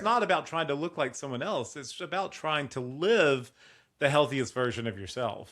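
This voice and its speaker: In a very clean recording with a silent background, a man with a plain, everyday voice speaks at a moderate pace, his fairly high pitch carried by lively intonation. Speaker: podcast host and mindset coach. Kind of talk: podcast host talk.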